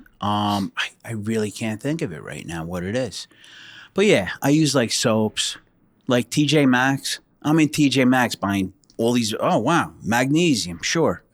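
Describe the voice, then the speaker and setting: A man with a New Jersey accent speaks at a fairly slow pace with lively intonation. The recording is very clean, the background silent. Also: medium pitch for a man. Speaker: retired state trooper. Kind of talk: casual chat.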